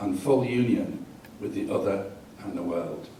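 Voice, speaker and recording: A man with an English accent speaks at medium pitch and a moderate pace, with audible room echo and noticeable background noise. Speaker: astrologer. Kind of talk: reading aloud.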